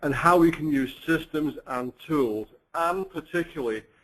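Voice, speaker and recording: A man talks with a British accent. His pace is very slow. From UK. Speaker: company finance chief. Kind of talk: webinar presentation.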